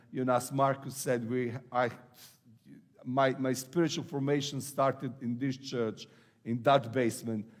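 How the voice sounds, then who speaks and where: Speaking with an Eastern European accent, a man talks at a fairly slow pace. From Serbia. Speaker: pastor. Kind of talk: sermon. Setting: church. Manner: halting.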